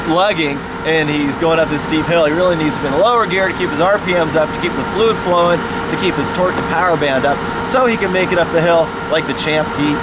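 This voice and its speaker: Against loud background noise, a man speaks at a fairly quick pace in a dry sound with no echo. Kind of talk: casual explanatory vlog chat. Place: forest. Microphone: phone near.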